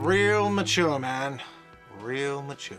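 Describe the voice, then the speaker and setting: A man's whiny, put-on character voice at medium pitch, with lively intonation and clear music in the background. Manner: shouting, sarcastic.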